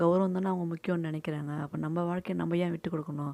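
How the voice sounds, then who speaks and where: Her voice is fairly low in pitch, and the woman speaks in a monotone, flat intonation on a very clean recording with a silent background. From Tamil Nadu, Tiruvannamalai district village. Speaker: YouTuber. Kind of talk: personal storytelling.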